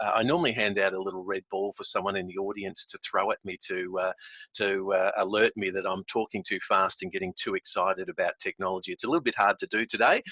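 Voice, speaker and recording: With an Australian accent, a man talks at a very fast pace, and the sound is dry and close with no echo. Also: quiet background. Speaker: software company founder presenting. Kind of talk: webinar presentation. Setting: video call from home office. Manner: animated.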